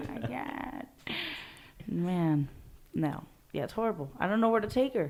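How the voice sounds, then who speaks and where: Using vocal fry and very wide pitch swings, a woman talks at a moderate pace and medium pitch in an animated tone. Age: young. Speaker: podcast co-host. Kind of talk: casual chat.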